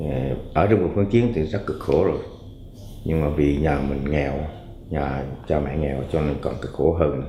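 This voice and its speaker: A man with a very deep, low pitch speaks at a moderate pace with ordinary pitch variation and long, frequent pauses. Room echo is audible, along with noticeable background noise. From Quang Ngai, central Vietnam. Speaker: interviewee telling his life story. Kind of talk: life story recollection. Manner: halting, many fillers.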